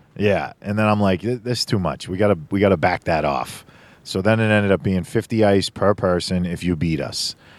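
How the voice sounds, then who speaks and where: A man's fairly low voice, a normal speaking voice with ordinary pitch variation, at a fairly quick pace in a very clean recording with a silent background. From Boston, Massachusetts. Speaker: gaming podcast host. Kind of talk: casual chat.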